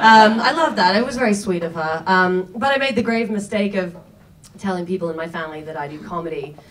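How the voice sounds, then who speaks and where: A woman talks at a fairly quick pace in a fairly low voice with ordinary pitch variation. Audible room echo and noticeable background noise surround her. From Australia. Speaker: comedian. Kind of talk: stand-up. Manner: halting.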